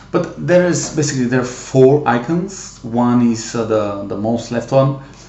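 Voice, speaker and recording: Noticeable background noise and audible room echo surround a voice with ordinary pitch variation. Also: man. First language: not English. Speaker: tech hobbyist youtuber. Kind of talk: tutorial. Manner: halting, many fillers.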